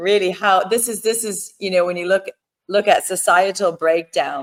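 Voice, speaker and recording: A woman's unremarkable speaking voice, medium in pitch, with fairly even intonation and a moderate pace. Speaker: podcast host. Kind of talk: interview questions, casual talk.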